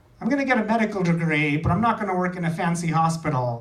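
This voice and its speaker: A high-pitched man speaking at a fairly quick pace with ordinary pitch variation, plus audible room echo and noticeable background noise. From India. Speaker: stand-up comedian. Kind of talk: stand-up. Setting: stage with audience.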